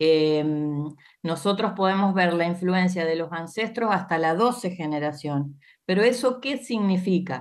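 With lively intonation and a medium pitch, a woman talks in a plain, everyday voice. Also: fairly slow pace. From Argentina, Santa Fe. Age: 50s. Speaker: astrologer. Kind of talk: interview explanation.

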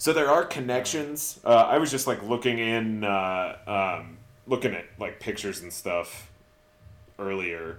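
Using a normal speaking voice at medium pitch, a man talks at a fairly slow pace with lively intonation and big swings in loudness. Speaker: podcast co-host. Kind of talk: casual chat.

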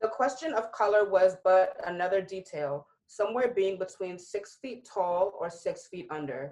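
Speaking at a moderate pace with hardly any pauses, a woman with an ordinary speaking voice uses medium pitch, lively intonation and big swings in loudness. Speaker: podcast panelist. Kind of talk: casual chat.

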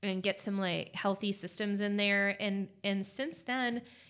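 In a very clean recording with a silent background, a woman with an American accent and a plain, everyday voice speaks at a moderate pace and medium pitch with fairly even intonation. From California. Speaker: acupuncturist. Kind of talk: casual chat.

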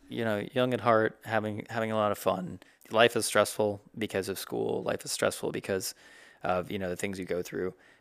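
Recorded very cleanly with a silent background, a man with an American accent and an unremarkable speaking voice talks at a moderate pace, his fairly low pitch showing ordinary variation. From South Carolina. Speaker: podcast co-host, medical student. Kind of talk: casual chat.

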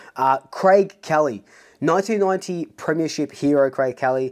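The speaker has an Australian accent and a moderate pace. The recording is very clean, with a silent background. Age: 30s. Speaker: football fan YouTuber. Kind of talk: solo vlog commentary. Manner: casual, energetic.

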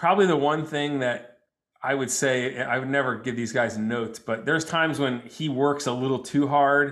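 A man with an American accent, an ordinary speaking voice, a medium pitch, fairly even intonation, and a moderate pace. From New Jersey. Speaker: psychologist and comedian. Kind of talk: casual chat.

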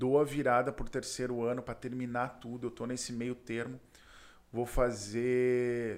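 The recording is very clean, with a silent background. A man with a medium pitch speaks at a fairly slow pace. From Porto Alegre, southern Brazil. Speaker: entrepreneur. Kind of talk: casual interview.

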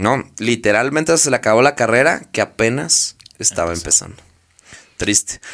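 Bright and sharp in tone, this animated voice moves at a moderate pace with lively intonation. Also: man. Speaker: podcast host. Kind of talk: casual storytelling chat.

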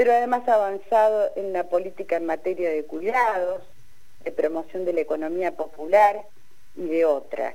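A woman speaks at a moderate pace with a medium pitch and ordinary pitch variation. Her tone is dark and mellow. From Argentina, Balcarce (Buenos Aires province). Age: 60s. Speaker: sociologist and feminist activist. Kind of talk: radio interview.

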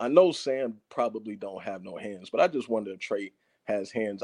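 Here a man speaks with a dark, mellow tone. His pace is fairly quick. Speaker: football fan caller. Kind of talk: casual chat. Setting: video call. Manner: animated.

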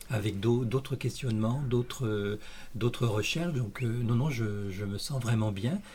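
Somewhat breathy and dark and mellow in tone, a man speaks at medium pitch and a very slow pace with ordinary pitch variation. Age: 60s. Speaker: library volunteer, retiree. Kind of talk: interview. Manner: halting, many hesitations and repetitions.

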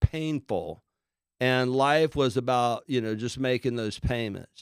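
With an unremarkable speaking voice at medium pitch and ordinary pitch variation, a man talks at a fairly slow pace in a dry, close sound with no echo. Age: 60s. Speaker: business coach and author. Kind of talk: interview.

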